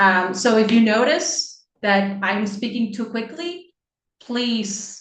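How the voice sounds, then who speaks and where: A somewhat breathy woman speaks at a very slow pace with ordinary pitch variation. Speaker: interdisciplinary scholar. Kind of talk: online seminar talk. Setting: video call.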